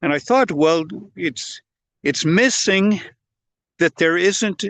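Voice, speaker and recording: A man speaks with ordinary pitch variation. The sound is dry and close with no echo, and the background is quiet. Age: 70s. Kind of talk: talking-head explainer video. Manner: halting, with false starts and repeated words.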